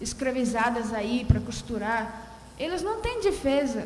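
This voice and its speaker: A Russian accent amid noticeable background noise and audible room echo. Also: woman. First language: Russian (speaking Portuguese). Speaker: audience member. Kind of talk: question from the floor at a round table. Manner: halting.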